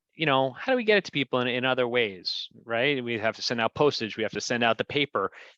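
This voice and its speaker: Talking at a fairly quick pace, a man with an American accent has a bright, sharp tone, recorded dry and close with no echo against a quiet background. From New Jersey (Fair Lawn). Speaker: local politician. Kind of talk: casual chat.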